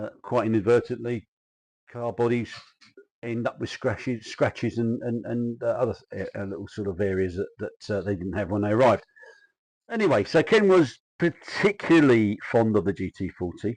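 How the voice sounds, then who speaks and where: A man with a South London accent speaks at medium pitch. His pace is moderate and his pitch variation ordinary. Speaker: kit car industry insider. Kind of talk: casual historical talk. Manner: halting, many fillers.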